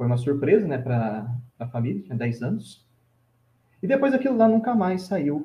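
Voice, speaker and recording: With long, frequent pauses, a man talks in a somewhat breathy, fairly high voice that swings very widely in pitch. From Brazil, São Paulo state (Vale do Paraíba). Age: 20s. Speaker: Franciscan friar. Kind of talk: casual interview, life story.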